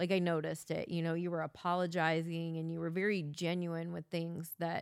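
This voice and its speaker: Pitched fairly low, this woman has a normal speaking voice. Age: 40s. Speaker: host's wife. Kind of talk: casual chat. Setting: home basement.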